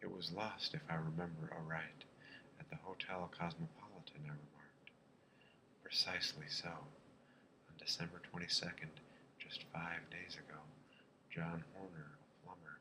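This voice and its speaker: Soft-spoken, a man with a very deep, low pitch talks at a moderate pace with ordinary pitch variation, big swings in loudness and long, frequent pauses, over noticeable background noise. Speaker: ASMR reader. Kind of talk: bedtime story reading.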